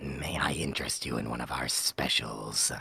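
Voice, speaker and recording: A man growls in a put-on character voice. His pitch is very deep and low, and his pace is moderate. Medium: actual play. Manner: sly, dealmaking.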